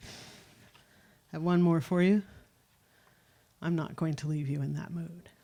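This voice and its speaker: With a dark, mellow tone and fairly low pitch, a woman speaks at a moderate pace with fairly even intonation on a very clean recording with a silent background. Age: 60s. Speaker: poet. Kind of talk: poetry reading. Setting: stage with audience.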